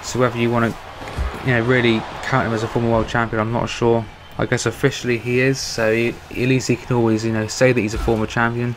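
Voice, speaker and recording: Spoken very fast with a British accent and a flat, monotone delivery. Noticeable background noise runs underneath. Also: man, medium pitch for a man. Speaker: gaming YouTuber doing wrestling commentary. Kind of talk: casual video commentary.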